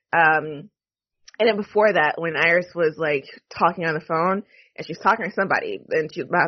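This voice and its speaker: A woman speaks at a fairly low pitch. She has a plain, everyday voice. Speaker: podcast host. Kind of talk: casual chat, TV recap podcast.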